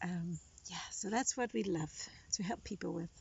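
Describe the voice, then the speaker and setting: A woman's medium-pitched voice with vocal fry and lively intonation, at a moderate pace. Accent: Danish. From Denmark. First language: Danish. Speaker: writer and writing coach. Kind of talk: testimony; casual chat. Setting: outdoors.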